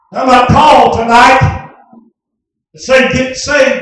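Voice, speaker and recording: Strong room echo fills the recording. Light background noise is also present. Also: man. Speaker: preacher. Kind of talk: revival sermon. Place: tent. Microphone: camera far.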